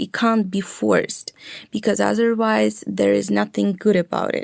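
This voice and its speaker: Recorded dry and close with no echo, a woman speaks at a moderate pace. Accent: Russian. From Ukraine, Russian-speaking family. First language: Russian. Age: young. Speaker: young Ukrainian interviewee. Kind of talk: interview.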